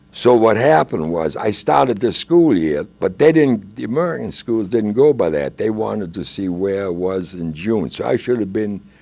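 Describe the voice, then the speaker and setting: Speaking at a moderate pace with hardly any pauses, a man with a fairly low pitch and a dark, mellow tone makes very wide pitch swings. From Germany. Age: old. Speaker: guest telling life story. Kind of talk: interview. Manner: halting.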